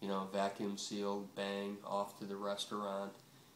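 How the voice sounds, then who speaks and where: A man's fairly low voice moves at a moderate pace while noticeable noise plays in the background. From Buffalo, New York. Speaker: retired butcher. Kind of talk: oral history interview answer. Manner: casual, hesitant, many fillers.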